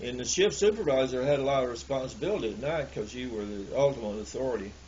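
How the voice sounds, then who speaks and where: With a Southern US accent, a man at medium pitch talks fairly quickly with lively intonation, amid noticeable background noise and audible room echo. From US South, Alabama. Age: 70s. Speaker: elderly storyteller recalling the past. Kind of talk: oral history interview. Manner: halting, many repeated words.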